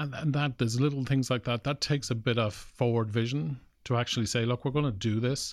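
The very clean recording has a silent background. A man with an Irish Midlands accent speaks at a fairly quick pace, with a medium pitch and fairly even intonation. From Ireland, Cavan/Longford border (Granard). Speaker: tech startup founder. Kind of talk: interview. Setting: studio.

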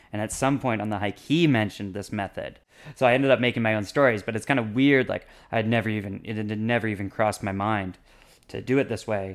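Over a very clean recording with a silent background, a man talks at a very fast pace. His pitch is fairly low and his intonation fairly even. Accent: Canadian. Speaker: language learner. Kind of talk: casual interview.

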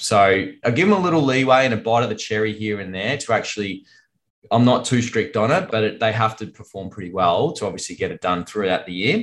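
With an Australian accent, a man speaks fairly quickly at a medium pitch. His intonation is lively and the background quiet. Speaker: financial advisor. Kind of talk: casual business conversation. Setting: video call.

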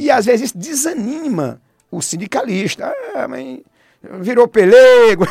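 With lively intonation and big swings in loudness, a man speaks at an extremely high pitch and a fairly slow pace, leaving long, frequent pauses. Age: 50s. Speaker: politician. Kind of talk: radio interview.

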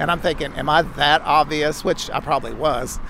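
Noticeable background noise runs under a man's voice. He speaks at a fairly high pitch with fairly even intonation. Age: 60s. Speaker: drag performer. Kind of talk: interview.

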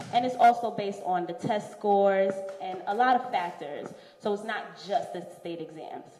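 The speaker has an American accent and fairly even intonation. There is noticeable background noise. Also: woman. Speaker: teacher. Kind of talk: casual interview chat.

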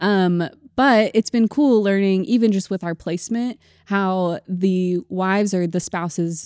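A woman uses a normal speaking voice at a medium pitch with ordinary pitch variation and a fairly slow pace, in a dry, close sound with no echo. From Missouri. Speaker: missionary. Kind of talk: casual chat.

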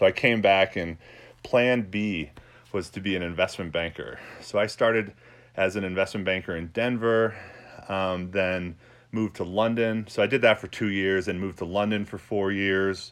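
A man with a normal speaking voice, fairly low-pitched, with fairly even intonation and a moderate pace. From New York. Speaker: sports podcast host. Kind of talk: solo podcast monologue. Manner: casual, with many fillers.

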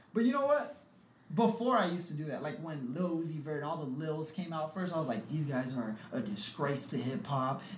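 A man's fairly high voice with an American accent and lively intonation, plus audible room echo and noticeable background noise. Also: fairly quick pace. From US West Coast, South San Francisco. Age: 20s. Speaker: podcast host. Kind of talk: casual chat.

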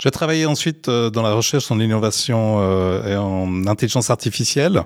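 The sound of this man's voice is dry and close, with no echo. His pitch shows ordinary variation. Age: 50s. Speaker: innovation executive in health education. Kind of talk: interview. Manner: halting, repeats words.

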